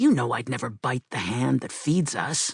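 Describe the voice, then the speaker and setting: The voice is a put-on character voice, growling at a low-to-middle pitch. It moves at a moderate pace. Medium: read story.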